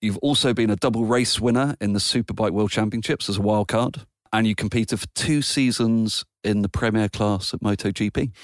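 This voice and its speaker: Very even loudness and fairly even intonation in a British accent, at a moderate pace, with a dry, close sound, no echo, and a very clean recording over a silent background. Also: man, fairly low pitch for a man. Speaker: podcast host. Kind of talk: casual interview chat.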